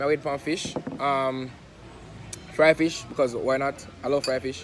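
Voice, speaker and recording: A man with a Jamaican accent speaks at a fairly high pitch with fairly even intonation. Noticeable background noise runs underneath. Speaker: vlogger. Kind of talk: casual vlog chat. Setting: outdoors by the seaside.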